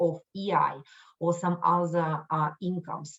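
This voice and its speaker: A somewhat breathy voice with a non-native accent. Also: woman. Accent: foreign. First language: not English. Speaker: microlending outreach staff. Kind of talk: webinar presentation. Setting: online live event. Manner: halting, many fillers and restarts.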